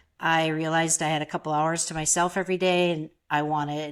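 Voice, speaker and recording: A woman with a fairly low pitch and an Upper Midwest accent. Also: very clean recording, silent background. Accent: Upper Midwest American. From Minnesota. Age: 60s. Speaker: photographer. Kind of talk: interview.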